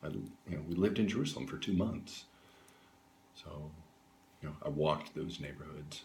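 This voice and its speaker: Very deep and low, a man's somewhat breathy voice moves at a moderate pace with long, frequent pauses. His loudness swings widely while his pitch varies in an ordinary way. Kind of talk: interview answer. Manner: hesitant, casual.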